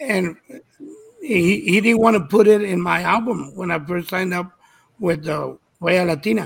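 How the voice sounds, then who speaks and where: A man's high-pitched voice with ordinary pitch variation and long, frequent pauses. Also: moderate pace. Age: 70s. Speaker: touring musician. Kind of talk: casual chat. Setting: video call.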